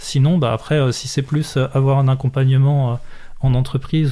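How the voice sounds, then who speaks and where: Fairly even intonation from a man at medium pitch, delivered at a moderate pace. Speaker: software trainer and consultant. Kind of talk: casual interview. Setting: radio studio. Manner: halting, many repetitions.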